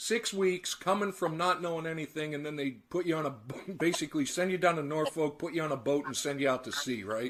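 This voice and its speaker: Speaking fairly quickly, a man with an unremarkable speaking voice uses a fairly high pitch and ordinary pitch variation. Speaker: collector channel host and interviewer. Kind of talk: interview questions.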